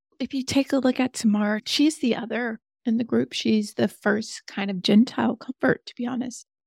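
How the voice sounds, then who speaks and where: A woman speaks in an unremarkable speaking voice at a fairly high pitch and moderate pace. Her intonation is fairly even with hardly any pauses, the sound dry and close with no echo. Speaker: actress. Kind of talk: interview conversation.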